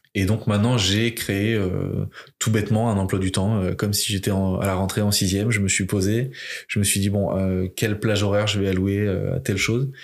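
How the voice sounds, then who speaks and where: The speech holds a moderate pace with very even loudness and a flat, monotone intonation. The recording is very clean, with a silent background. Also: man, fairly low pitch for a man. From France, Limoges. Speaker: rugby player and entrepreneur, podcast founder. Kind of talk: casual interview as guest.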